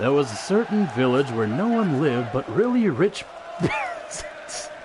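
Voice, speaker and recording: The voice swings very widely in pitch at a fairly slow pace. Noticeable background noise can be heard. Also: man. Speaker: streamer. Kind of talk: casual fairy tale reading with commentary. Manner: irreverent, joking, profane.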